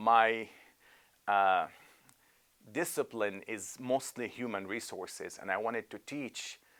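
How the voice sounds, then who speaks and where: A man with a medium pitch and ordinary pitch variation speaks at a very slow pace, with long, frequent pauses and big swings in loudness. The recording is very clean, with a silent background. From Lebanon. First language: Arabic. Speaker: imam and professor. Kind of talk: interview testimony. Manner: halting with many fillers.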